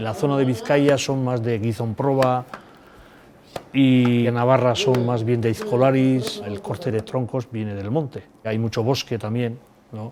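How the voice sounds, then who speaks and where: Noticeable background noise sits behind a man's voice. He speaks at a fairly slow pace and a medium pitch with ordinary pitch variation. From Basque Country, Spain. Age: 60s. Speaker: former stone lifter and boxer. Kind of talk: documentary interview.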